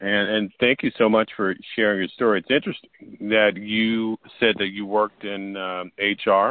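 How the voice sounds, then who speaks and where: A man talks at a fairly low pitch and a moderate pace. His intonation stays fairly even. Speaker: podcast host. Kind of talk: casual interview chat. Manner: halting, filler-heavy.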